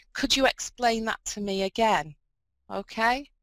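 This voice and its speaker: A woman's fairly high, fairly slow speech in a dry, close sound with no echo. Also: very clean recording, silent background. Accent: northern English. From northern England. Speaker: video conference facilitator. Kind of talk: instructions to students. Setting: video conference.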